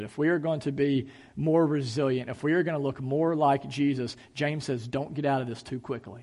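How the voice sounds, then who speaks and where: Over a quiet background, a man with a fairly high pitch talks in an unremarkable speaking voice. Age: 30s. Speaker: pastor. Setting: church service, in person and streamed online. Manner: earnest, conversational preaching with rhetorical questions and repetition; casual filler-laden delivery with ums and uhs.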